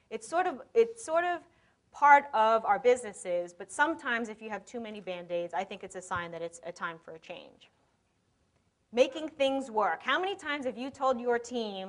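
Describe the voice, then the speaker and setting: A woman with an American accent speaks in a high pitch with very wide pitch swings. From New York. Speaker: conference speaker, e-commerce consultant. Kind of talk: conference talk. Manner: fast.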